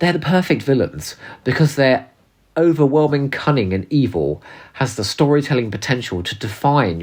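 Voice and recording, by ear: A put-on character voice sits at a low-to-middle pitch with a nasal sound. It moves at a moderate pace.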